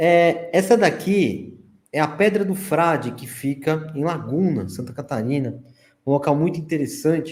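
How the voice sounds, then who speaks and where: Speaking fairly slowly, a man with an unremarkable speaking voice and a fairly high pitch shows ordinary pitch variation. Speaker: researcher presenting archaeology findings. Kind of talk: slide presentation in live stream.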